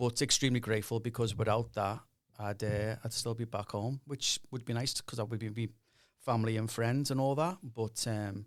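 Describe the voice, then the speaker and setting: Speaking with a Liverpool accent, a man keeps a medium pitch, a moderate pace and fairly even intonation. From northern England, Liverpool. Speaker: university dean. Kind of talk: podcast interview.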